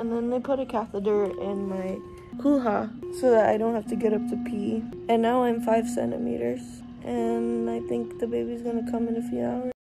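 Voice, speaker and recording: Music is clearly heard in the background. The speech moves at a moderate pace. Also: woman. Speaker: expectant mother vlogger. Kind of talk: casual vlog chat. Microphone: phone near.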